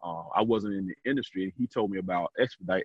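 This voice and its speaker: A man talks at a fairly quick pace in an unremarkable speaking voice. His pitch is fairly low, with ordinary variation. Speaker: trucking business owner. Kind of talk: interview.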